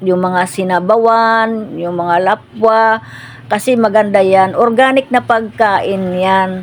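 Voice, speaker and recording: With an ordinary speaking voice, a woman talks at a fairly slow pace and a medium pitch, her intonation fairly even. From Philippines, provinces. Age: 60s. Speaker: cooking vlogger. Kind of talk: casual cooking vlog chat.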